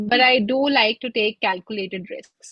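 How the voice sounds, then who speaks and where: Somewhat breathy, a woman speaks at a fairly slow pace. Her pitch is fairly high, with fairly even intonation. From India, Lucknow. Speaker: singer-songwriter. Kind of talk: interview conversation.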